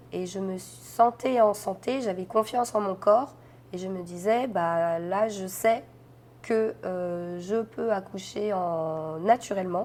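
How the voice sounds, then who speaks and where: Ordinary pitch variation at a very slow pace. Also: woman, medium pitch for a woman. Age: 30s. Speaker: interviewee sharing birth story. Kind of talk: testimony interview. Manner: hesitant, many fillers.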